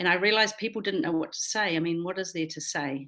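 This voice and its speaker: A woman talks at a fairly quick pace in a fairly low pitch. She has an ordinary speaking voice. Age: 60s. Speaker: filmmaker. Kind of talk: interview.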